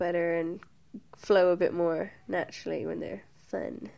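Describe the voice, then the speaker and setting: A woman with a Limerick accent speaks at a fairly slow pace in a very clean recording with a silent background. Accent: Irish (Limerick). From Ireland, Limerick. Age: 20s. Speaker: burlesque dancer and cabaret producer. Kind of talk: interview.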